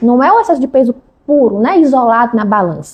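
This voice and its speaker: The pace is fairly quick. A woman delivers it in a high pitch. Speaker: endocrinologist. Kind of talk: interview. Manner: fast.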